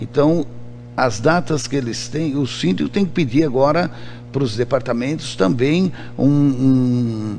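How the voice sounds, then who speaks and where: A man speaks at a medium pitch and a fairly slow pace, with ordinary pitch variation. Audible room echo and noticeable background noise accompany him. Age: 60s. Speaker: trade union president. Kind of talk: radio interview. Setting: radio studio. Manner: halting, many repetitions.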